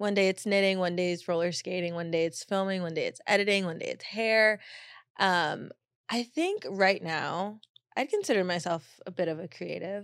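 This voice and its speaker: A woman speaks at a moderate pace with an unremarkable speaking voice. Her pitch is medium, with ordinary variation. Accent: American. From Long Beach, California. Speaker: content creator. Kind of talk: casual interview chat.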